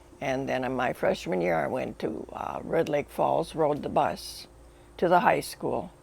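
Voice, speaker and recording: A woman speaks with an Upper Midwest accent. Her pace is fairly slow. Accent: Upper Midwest (Minnesota). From northwestern Minnesota. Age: 80s+. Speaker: family elder interviewed. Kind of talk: interview reminiscence. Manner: halting.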